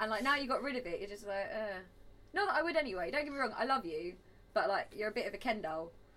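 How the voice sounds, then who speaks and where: Through noticeable background noise, a woman with a fairly high pitch speaks at a very fast pace with very wide pitch swings. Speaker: podcast guest. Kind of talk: casual chat.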